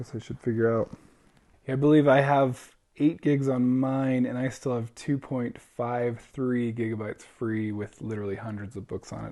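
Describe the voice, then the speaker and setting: Quiet and dark, mellow in tone, a man speaks at medium pitch and a moderate pace with fairly even intonation. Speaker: book reviewer. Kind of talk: unboxing review. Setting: at home. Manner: casual.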